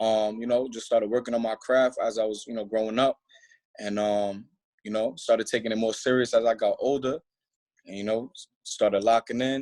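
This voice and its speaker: In a New York accent, with monotone, flat intonation, the speaker talks at a fairly quick pace with big swings in loudness, the sound dry and close with no echo. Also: man, medium pitch for a man. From Staten Island, New York. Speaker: rapper. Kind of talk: radio interview.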